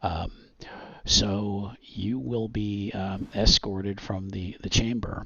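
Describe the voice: A man speaks slowly at a fairly low pitch with fairly even intonation. His fairly bright tone carries vocal fry and a slightly husky edge.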